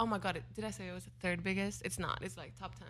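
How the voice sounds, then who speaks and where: A woman with a Swedish accent, in audible room echo. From southern Sweden (Helsingborg). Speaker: show guest. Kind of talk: casual chat.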